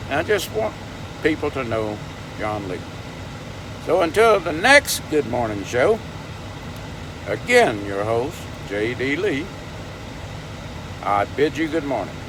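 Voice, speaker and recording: A man with a Southern US accent speaks at a medium pitch and a fairly slow pace, leaving long, frequent pauses. His pitch swings very widely over noticeable background noise. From US South, Louisiana (Baton Rouge). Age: 70s. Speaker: vlogger. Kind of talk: casual vlog monologue.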